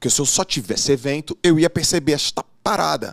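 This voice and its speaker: Against a quiet background, a man speaks in an animated tone with a fairly high pitch and ordinary pitch variation. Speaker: former swimmer, coach and business mentor; coach. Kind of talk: casual interview. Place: studio. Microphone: studio mic.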